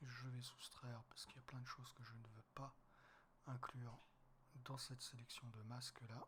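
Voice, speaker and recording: With long, frequent pauses, a man talks at a moderate pace in a bright, sharp tone, keeping his medium pitch monotone and flat. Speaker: wildlife photographer. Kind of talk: tutorial. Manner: casual, hesitant.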